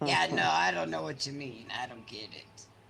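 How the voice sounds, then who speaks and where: This is a put-on character voice. It sits at a low pitch. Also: moderate pace. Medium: actual play. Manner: blunt, clipped, dismissive.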